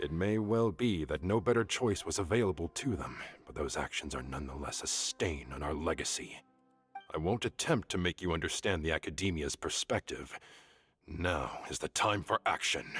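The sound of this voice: Faint music plays behind a man's put-on character voice, extremely low with a slightly husky edge. He talks at a moderate pace with lively intonation.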